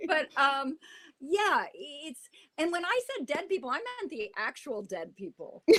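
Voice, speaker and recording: A woman's raised, projected voice at an extremely high pitch, with very wide pitch swings, a fairly slow pace, and a dry, close sound with no echo. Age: 60s. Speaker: actress. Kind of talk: casual chat.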